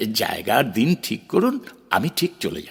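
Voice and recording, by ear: Using a put-on character voice, a man speaks at a fairly low pitch with very wide pitch swings. His voice has vocal fry and a husky, rough edge at a moderate pace.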